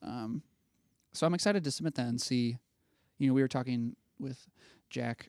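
A man with a Midwestern American accent, medium pitch and ordinary pitch variation, a dark, mellow tone, dry close sound with no echo and a very clean recording with a silent background. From Ohio (Dayton). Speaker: film student. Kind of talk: casual chat.

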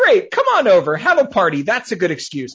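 A man is speaking. He has an American accent. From outside US, where cookies are called biscuits. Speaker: comedian and writer. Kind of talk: casual chat.

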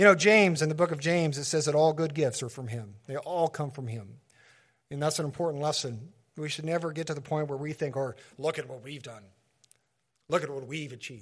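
This man has an unremarkable speaking voice with a fairly high pitch and ordinary pitch variation, talking at a fairly quick pace with big swings in loudness on a very clean recording with a silent background. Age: 40s. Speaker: pastor. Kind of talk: sermon.

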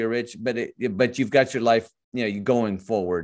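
At a fairly quick pace, a man with an American accent talks with ordinary pitch variation against a quiet background. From US Midwest (Michigan). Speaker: author and life coach. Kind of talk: casual faith-based interview. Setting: video call. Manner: enthusiastic.

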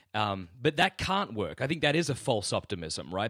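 With an Australian accent, a man talks at a fairly quick pace and a medium pitch, his intonation lively. The recording is very clean, with a silent background and a dry, close sound with no echo. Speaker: podcast guest. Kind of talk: interview.

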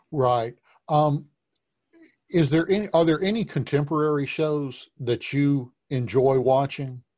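A man speaks in an ordinary speaking voice at a fairly slow pace, his pitch fairly high with ordinary variation and his loudness very even. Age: 50s. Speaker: podcast host and portrait painter. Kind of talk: interview conversation.

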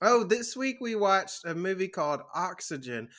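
A man's raised, projected voice, bright and sharp in tone, at a moderate pace in a very clean recording with a silent background. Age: 20s. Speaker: movie podcast host. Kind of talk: casual chat. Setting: Twitch stream. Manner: laughs often.

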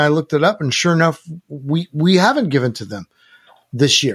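A man with a plain, everyday voice speaks at a fairly high pitch with lively intonation. The recording is very clean, with a silent background. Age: 60s. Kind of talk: interview.

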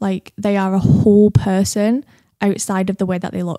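Recorded in a dry, close sound with no echo, a woman speaks in a dark, mellow tone with a Mancunian accent. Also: very clean recording, silent background. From Manchester, England. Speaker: social media creator. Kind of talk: interview, personal testimony. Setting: in-person studio recording. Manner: talkative.

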